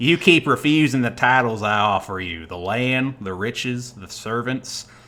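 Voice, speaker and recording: Drawling in a put-on character voice, a man keeps a medium pitch and a moderate pace on a very clean recording with a silent background. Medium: actual play.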